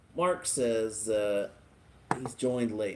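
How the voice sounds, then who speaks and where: A man moves at a fairly slow pace with ordinary pitch variation, noticeable background noise behind him. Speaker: live stream host reviewing tobacco and drinks. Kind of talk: casual live stream chat.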